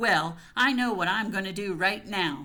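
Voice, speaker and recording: A female-sounding speaker uses a put-on character voice at a medium pitch, raised and projected. She growls as she speaks at a moderate pace. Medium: read story. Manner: brisk, blunt.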